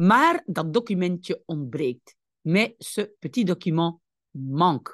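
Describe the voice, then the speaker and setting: A woman speaking very slowly with lively intonation against a quiet background. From Belgium. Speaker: language teacher. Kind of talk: tutorial. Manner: didactic, explaining.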